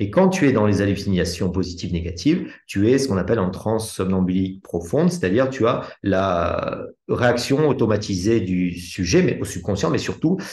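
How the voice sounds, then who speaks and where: A man with a fairly low, somewhat breathy voice talks at a moderate pace with lively intonation and hardly any pauses, and there is audible room echo. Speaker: hypnosis trainer. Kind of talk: live teaching session.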